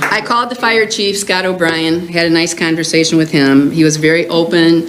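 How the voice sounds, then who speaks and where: A woman with an American accent speaks at a fairly quick pace in a very deep, low pitch, with noticeable background noise and audible room echo. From US Midwest, Illinois. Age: 70s. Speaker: concerned resident speaking at public comment. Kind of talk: public comment at village board meeting.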